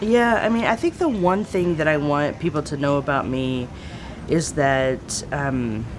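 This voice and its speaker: A woman with an American accent speaks at a fairly slow pace in a very deep, low pitch, making very wide pitch swings against noticeable background noise. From Texas (East Texas, San Antonio). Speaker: theologian and activist. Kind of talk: interview.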